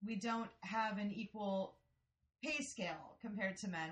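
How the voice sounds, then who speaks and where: A woman with a normal speaking voice talks at a moderate pace with a medium pitch. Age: 40s. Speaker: podcast co-host. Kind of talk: casual chat. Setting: studio.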